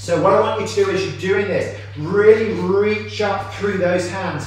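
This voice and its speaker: There is strong room echo and light background noise as a man speaks at a fairly slow pace. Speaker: fitness coach. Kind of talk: workout instruction. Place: gym. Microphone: camera far.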